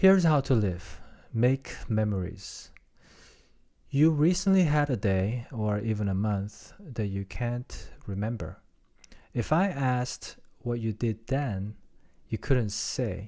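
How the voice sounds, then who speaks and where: This man's tone is dark and mellow, with lively intonation. He talks at a very slow pace, leaving long, frequent pauses. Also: medium pitch for a man, very clean recording, silent background. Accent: non-native. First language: not English. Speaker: podcaster. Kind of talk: reading aloud; casual chat. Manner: halting.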